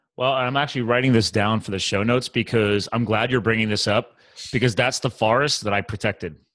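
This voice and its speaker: With the background quiet, a man talks very fast and keeps his intonation fairly even. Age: 40s. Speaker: podcast host. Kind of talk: casual interview chat. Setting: call. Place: home room. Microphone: studio mic.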